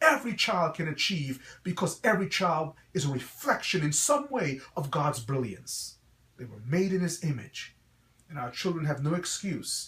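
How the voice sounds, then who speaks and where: A man with an American accent speaks at a moderate pace in a fairly high pitch, his tone bright and sharp and his intonation lively. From Guyana, then New York City (Brooklyn). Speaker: pastor and school principal. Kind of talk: promotional address to parents. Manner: earnest, preacher-like.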